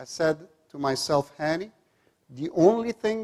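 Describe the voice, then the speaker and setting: An unremarkable speaking voice, this man's sits at a fairly high pitch, with lively intonation and a moderate pace. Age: 50s. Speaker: psychologist and coach. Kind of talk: motivational talk.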